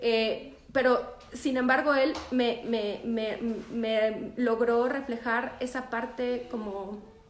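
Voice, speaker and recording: A woman's high pitch in monotone, flat intonation, with audible room echo. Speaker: photographer. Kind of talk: live stream talk.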